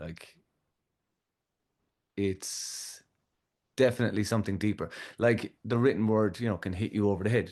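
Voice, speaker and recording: With a Kerry accent, a man talks at a fairly slow pace in a relaxed tone and a fairly low pitch. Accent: Irish, Kerry. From Ireland. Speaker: musician, audio engineer. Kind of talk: podcast interview answer. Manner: relaxed, conversational.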